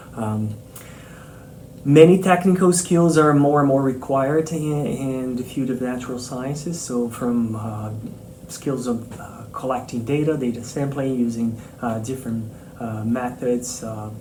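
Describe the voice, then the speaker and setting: Over noticeable background noise and audible room echo, a man with a non-native accent speaks fairly slowly at a medium pitch with ordinary pitch variation. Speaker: marine mammal scientist, professor. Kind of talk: interview answers. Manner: hesitant, many fillers and repetitions.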